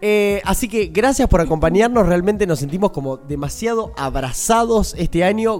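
An animated, high-pitched male voice with lively intonation at a moderate pace over noticeable background noise. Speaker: podcast co-host. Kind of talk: casual chat.

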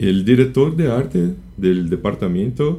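With a Brazilian accent, a man speaks in a dark, mellow tone with lively intonation. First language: Portuguese (speaking Spanish). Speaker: type designer. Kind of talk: interview.

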